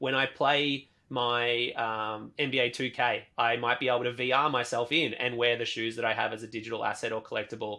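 Monotone and flat in intonation, a man with an Australian accent talks at a fairly quick pace. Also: medium pitch for a man, hardly any pauses. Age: 30s. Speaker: sneaker artist. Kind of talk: interview conversation.

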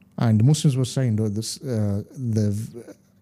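In a London accent, a man speaks at medium pitch with a dark, mellow tone in a very clean recording with a silent background. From London (Hackney), Gujarati Indian heritage. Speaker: tour guide, convert to Islam. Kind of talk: interview, personal testimony.

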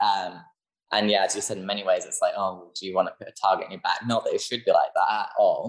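A man is speaking. His pace is very fast. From UK. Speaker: small business owner. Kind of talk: casual chat.

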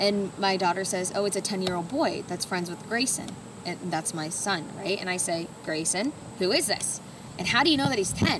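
Noticeable background noise sits under the voice. The pitch varies in an ordinary way at a moderate pace. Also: woman, medium pitch for a woman. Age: 30s. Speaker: podcast co-host, stay-at-home mom. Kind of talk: casual chat.

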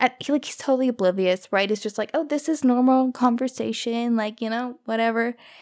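On a very clean recording with a silent background and a dry, close sound with no echo, a woman with a Canadian accent speaks at a high pitch with ordinary pitch variation. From Canada. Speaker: podcast host. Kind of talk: casual storytelling monologue.

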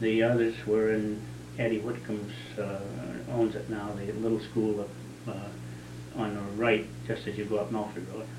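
A man talks at a moderate pace with a fairly low pitch and ordinary pitch variation. Noticeable background noise and audible room echo surround him. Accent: New England. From southern New Hampshire. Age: 60s. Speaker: local resident recounting town history. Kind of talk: oral history interview. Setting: at his home.

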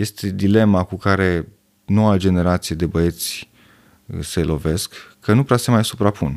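Speaking at a fairly slow pace, a man with a fairly low pitch has a plain, everyday voice, captured in a very clean recording with a silent background. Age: 40s. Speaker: urologist. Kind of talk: casual chat.

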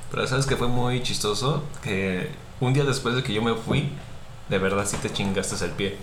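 Amid noticeable background noise and audible room echo, a man at medium pitch talks at a moderate pace with ordinary pitch variation. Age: 20s. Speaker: designer. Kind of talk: casual chat.

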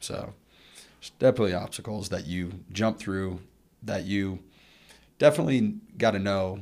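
A man with an American accent talks at a moderate pace, with ordinary pitch variation, big swings in loudness, and long, frequent pauses, on a very clean recording with a silent background. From Colorado, Arvada (Denver suburb). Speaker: former college football linebacker, businessman. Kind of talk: casual interview. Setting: studio at a university business school.

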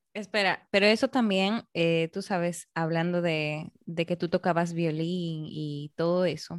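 A woman's normal speaking voice, fairly low in pitch and fairly even in intonation, at a fairly slow pace with hardly any pauses, in a dry, close sound with no echo against a quiet background. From Peru, Arequipa. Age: 20s. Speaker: podcast host. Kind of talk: interview.

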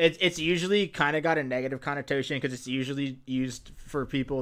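Recorded very cleanly against a silent background, a man with a normal speaking voice talks at a fairly quick pace, medium pitch and ordinary pitch variation. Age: 20s. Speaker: podcast host. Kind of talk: casual chat.

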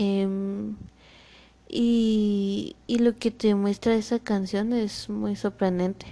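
Against a quiet background, a woman speaks very slowly in a medium-pitched, dark, mellow voice with flat, monotone intonation. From Guatemala. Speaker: podcast host. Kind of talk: motivational monologue. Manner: halting.

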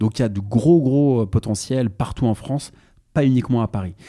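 The background is silent and the recording very clean. A man's tone is dark and mellow. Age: 30s. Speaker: parking investor. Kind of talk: podcast interview. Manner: halting.

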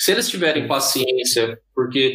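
Medium male pitch with ordinary variation. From Brazil, interior of São Paulo state. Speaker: software engineer. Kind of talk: interview.

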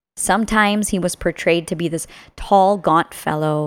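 A woman speaks at medium pitch in a normal speaking voice, at a moderate pace. The recording is very clean, with a silent background. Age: 30s. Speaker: podcast host. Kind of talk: scripted narration.

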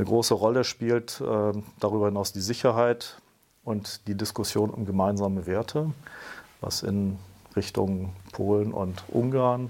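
Speaking at a fairly slow pace, a man with fairly low pitch and fairly even intonation has a plain, everyday voice. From grew up in Brussels, Belgium. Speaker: state secretary for European affairs. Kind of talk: interview, explanatory.

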